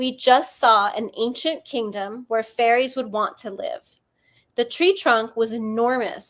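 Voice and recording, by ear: Someone reads aloud in a natural voice with fairly even intonation. The background is quiet.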